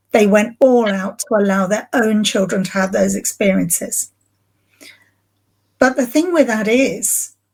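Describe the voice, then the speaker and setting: A woman with an English accent speaks at a fairly slow pace with long, frequent pauses. Her fairly high pitch shows ordinary pitch variation, and her voice is somewhat breathy. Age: 60s. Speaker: grief recovery specialist. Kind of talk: podcast interview.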